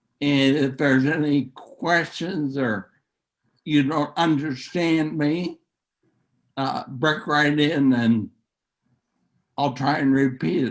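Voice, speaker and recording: Speaking very slowly with long, frequent pauses, a man uses a fairly high pitch and ordinary pitch variation. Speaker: author, guest speaker. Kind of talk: presentation. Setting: video call. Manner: speech affected by neurological disease; halting.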